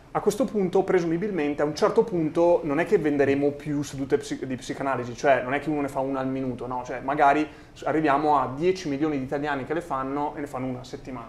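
A man with a fairly high voice talks at a very fast clip, his pitch varying in an ordinary way, over noticeable background noise. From rural Italy, small village. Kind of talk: interview conversation.

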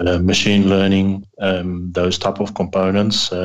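A very deep, low-pitched man in an American accent, very slow in pace, with monotone, flat intonation. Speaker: tech guy on a radio show.

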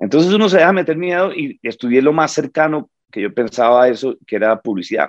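Talking at a very fast pace with hardly any pauses, a man uses a fairly high pitch and very wide pitch swings, recorded with a dry, close sound and no echo. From Bogotá, Colombia. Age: 50s. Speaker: stand-up comedian. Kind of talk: casual interview.

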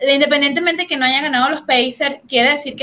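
With ordinary pitch variation, the speaker uses a raised, projected voice. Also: woman. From Venezuela. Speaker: sports commentator. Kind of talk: casual sports panel talk.

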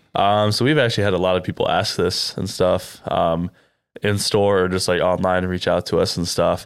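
Recorded very cleanly over a silent background, a man with a Midwestern US accent speaks at a fairly low pitch with fairly even intonation. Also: moderate pace. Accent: US Midwest. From Iowa (Cedar Rapids). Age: 20s. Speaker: young entrepreneur, sneaker store co-founder. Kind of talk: interview. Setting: on location in a shoe store at a mall.

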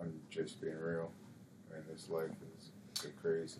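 Using a put-on character voice that sounds robotic, a man speaks at a fairly slow pace with a very deep, low pitch over clear background noise. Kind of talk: stiff, podcast-like. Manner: robotic, monotone.

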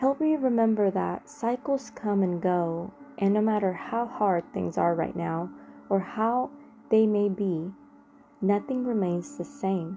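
This is an ordinary speaking voice with ordinary pitch variation. It moves at a fairly slow pace. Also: woman, medium pitch for a woman. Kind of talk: guided meditation. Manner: slow, calm, prayerful; soft-spoken, reverent.

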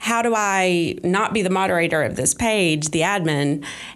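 With an Appalachian accent, a woman speaks at a medium pitch and a fairly slow pace. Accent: Southern US (Appalachian North Carolina). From western North Carolina, Polk County. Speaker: Facebook group moderator. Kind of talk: interview. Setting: public library.

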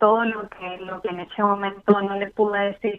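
A woman is talking here, her pitch medium. Flat, monotone intonation runs throughout. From Mendoza, Argentina. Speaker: caller. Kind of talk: emotional testimony to a host on a call-in show. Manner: nervous, halting.

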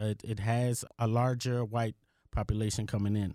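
A man with an American accent, medium in pitch, monotone and flat, his tone dark and mellow, in a dry, close sound with no echo on a very clean recording with a silent background. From Washington, D.C. area. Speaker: acting mayor. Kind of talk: interview.

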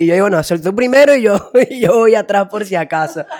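This man talks in a Venezuelan accent with lively intonation. His pitch is high and his pace moderate. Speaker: comedy podcast co-host. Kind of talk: casual comedic chat.

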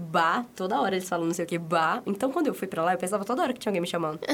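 The speaker is a woman. Her intonation is lively. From São Paulo, Brazil. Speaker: podcast co-host. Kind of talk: casual chat.

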